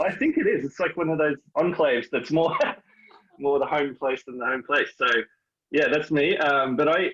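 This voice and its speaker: Fairly even intonation at a moderate pace. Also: man, fairly high pitch for a man. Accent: slight New Zealand. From New Zealand, raised mainly in Sydney. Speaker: history lecturer. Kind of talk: interview.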